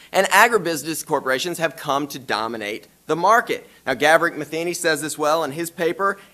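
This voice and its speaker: A man's high-pitched, bright, sharp voice with a Southern US accent at a fairly quick pace. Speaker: law professor. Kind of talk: conference presentation.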